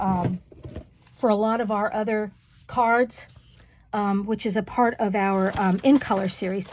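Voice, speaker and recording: A woman mumbles at a fairly slow pace in a put-on character voice. Her pitch sits fairly high. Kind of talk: casual, crafting video. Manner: mumbling.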